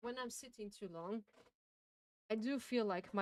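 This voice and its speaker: A woman speaks with a strong Austrian accent at a fairly slow pace and ordinary pitch variation. The sound is dry and close, with no echo. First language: German. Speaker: game streamer. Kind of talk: casual live-stream chat while reading game text aloud. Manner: halting, with frequent self-corrections.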